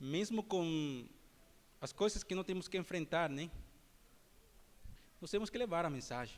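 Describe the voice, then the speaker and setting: A man with a non-native accent speaks at a fairly slow pace, with long, frequent pauses. His high voice has lively intonation. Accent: non-native, imperfect Portuguese. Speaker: preacher. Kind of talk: sermon.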